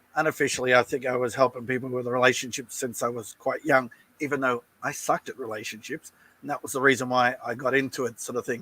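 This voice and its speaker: A man with an Australian accent speaks very fast in a flat monotone, his medium-pitched voice bright and sharp in a dry, close recording with no echo. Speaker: relationship coach. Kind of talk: interview.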